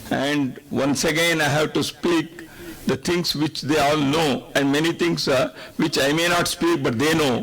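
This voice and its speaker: Speaking with a Kannada accent, a man uses a fairly high pitch, a fairly slow pace, fairly even intonation, and very even loudness, with noticeable background noise present. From India, Karnataka. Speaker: invited speaker at a public function. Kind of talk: public speech. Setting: stage with audience.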